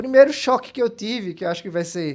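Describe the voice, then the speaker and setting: A man speaks with a Pernambuco accent and ordinary pitch variation. The background stays quiet. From Brazil, Pernambuco interior (Bezerros). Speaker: political strategist and scientist. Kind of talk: interview. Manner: many fillers, hesitant.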